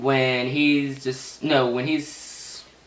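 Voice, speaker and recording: A man's fairly high voice comes through clear background noise. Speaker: card game deck profiler. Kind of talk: casual tutorial. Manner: halting, stuttering.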